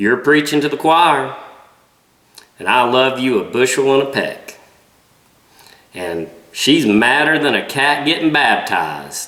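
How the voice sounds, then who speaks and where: A strong Southern US accent at a fairly slow pace, with lively intonation and long, frequent pauses. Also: man, fairly high pitch for a man. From Southern United States. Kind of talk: casual talk to camera.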